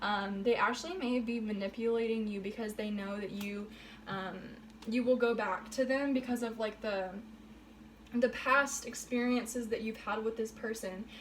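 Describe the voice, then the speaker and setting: There is audible room echo as a woman with a fairly high voice speaks at a moderate pace with fairly even intonation. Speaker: tarot reader. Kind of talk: tarot reading monologue. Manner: hesitant, many fillers.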